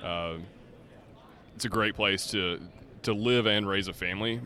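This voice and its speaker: In an American accent, a man speaks at a moderate pace with a fairly low pitch, a bright, sharp tone, ordinary pitch variation and long, frequent pauses. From Charlotte, North Carolina. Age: 30s. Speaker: turf colorant company representative. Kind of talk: casual chat. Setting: trade show booth.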